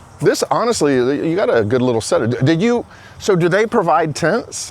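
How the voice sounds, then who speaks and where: Over noticeable background noise, a man with an American accent speaks at a fairly quick pace in a high pitch, his pitch swinging very widely while his loudness stays very even. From Florida. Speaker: street interviewer, video creator. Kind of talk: casual street interview. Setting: outdoors.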